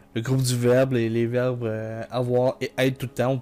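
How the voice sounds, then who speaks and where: Music plays in the background. The speaker talks fairly slowly with a Quebec accent. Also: man. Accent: Québécois. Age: 20s. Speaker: gaming YouTuber. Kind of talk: let's play commentary. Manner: casual, hesitant with many fillers.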